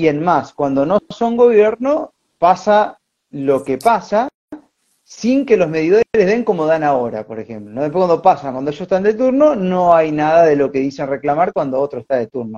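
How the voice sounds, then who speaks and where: Speaking with an Argentine accent, a man has a fairly high pitch with very wide swings and a dark, mellow tone. He talks at a moderate pace in a dry, close sound with no echo. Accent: Argentine Spanish (voseo). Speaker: podcast host. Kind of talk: casual interview conversation.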